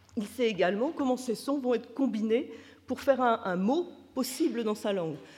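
Somewhat breathy and shaky, a woman with a fairly high pitch talks with lively intonation at a moderate pace. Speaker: neuroscience researcher. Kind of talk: conference lecture. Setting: conference with audience. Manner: slightly trembling voice.

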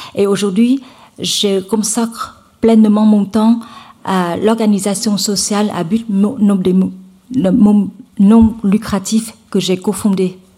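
A woman with a Vietnamese accent speaks at a medium pitch, somewhat breathy, with a dark, mellow tone. Her delivery is very slow and monotone, with flat intonation and long, frequent pauses. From central Vietnam, Hue. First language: Vietnamese (speaking French). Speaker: nonprofit foundation co-founder, conference speaker. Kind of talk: conference talk. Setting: lecture hall with audience. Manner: halting, many fillers and repetitions.

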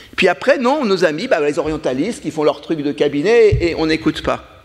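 The man's pitch swings very widely as he talks at a moderate pace through noticeable background noise. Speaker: scholar of Japan. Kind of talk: round table discussion.

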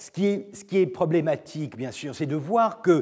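A man's high voice with lively intonation. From Turkey. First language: Turkish (speaking French). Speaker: professor. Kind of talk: lecture. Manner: halting, with frequent repetitions and fillers.

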